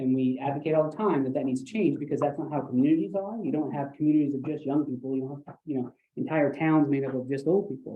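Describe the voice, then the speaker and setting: The words come at a very fast pace with hardly any pauses. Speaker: housing developer presenter. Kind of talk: public presentation. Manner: mumbling.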